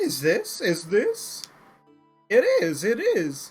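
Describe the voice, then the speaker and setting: A put-on character voice moves at a very slow pace. Faint music plays in the background. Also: man, extremely high pitch for a man. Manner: silly, excited, exaggerated.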